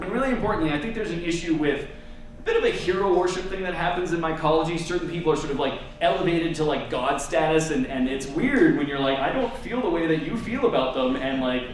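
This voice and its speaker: Amid noticeable background noise and audible room echo, a man with an American accent talks at a very fast pace. His pitch is high and his intonation lively. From Massachusetts, US. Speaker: mycologist and science communicator. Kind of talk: lecture. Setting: lecture hall with audience. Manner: casual, conversational.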